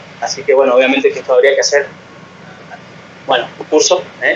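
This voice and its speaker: A man speaks over noticeable background noise. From Argentina. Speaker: physician. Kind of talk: lecture. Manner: fast.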